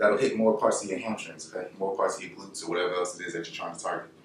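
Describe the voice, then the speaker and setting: A man talks at a very fast pace. Light background noise and audible room echo are present. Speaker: fitness instructor. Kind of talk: workout tutorial. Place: home room. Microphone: camera far.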